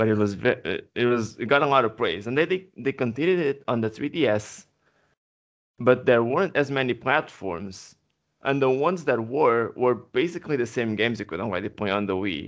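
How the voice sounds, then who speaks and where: Against a quiet background, a man with a Portuguese accent talks at a fairly quick pace, medium in pitch with lively intonation. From Portugal. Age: 20s. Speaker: podcast co-host. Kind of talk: casual chat.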